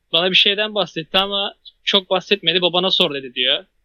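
A man talks at a moderate pace in a high pitch. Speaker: podcast host, university student. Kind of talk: casual chat. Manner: loud.

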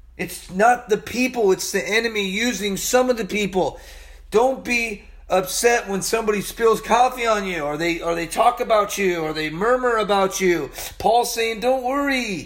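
Over noticeable background noise, a man speaks in an animated tone at a high pitch and a moderate pace, with ordinary pitch variation. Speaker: Bible teacher. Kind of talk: sermon.

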